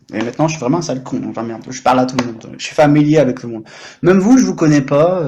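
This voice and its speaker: A man speaks very fast in an animated tone, his fairly high pitch showing ordinary variation. Noticeable background noise sits behind him. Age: 30s. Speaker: French tutor and livestreamer. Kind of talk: casual livestream chat. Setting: live stream.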